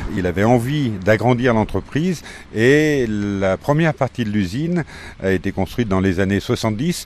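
With an ordinary speaking voice, a man talks at a fairly low pitch. His intonation is lively and his pace moderate. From Faramans, Isère, France. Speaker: former company head. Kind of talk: interview.

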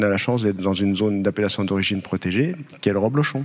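Speaking at a fairly quick pace, a man uses a fairly low voice with ordinary pitch variation. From Haute-Savoie, France. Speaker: documentary filmmaker. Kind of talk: interview. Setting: studio with live audience. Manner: halting.

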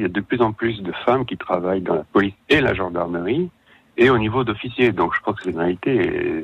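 At a fairly quick pace and fairly low pitch, a man with an unremarkable speaking voice talks with lively intonation. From Savoie, France. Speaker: crime novelist. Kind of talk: radio interview.

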